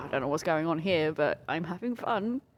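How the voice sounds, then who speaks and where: A woman with a British accent, fairly low in pitch and lively in intonation, on a very clean recording with a silent background. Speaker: gaming podcast co-host. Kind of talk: casual chat. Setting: live at a video game expo.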